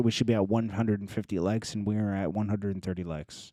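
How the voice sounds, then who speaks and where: A man talks at a very fast pace in a dark, mellow tone, his intonation fairly even. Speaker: livestream commentator. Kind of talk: casual live stream chat.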